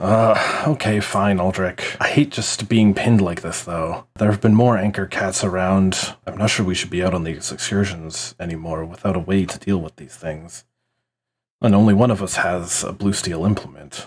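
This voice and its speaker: Gruff and very deep, a man's voice comes through in a put-on character voice. He speaks at a moderate pace. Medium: actual play. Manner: tense.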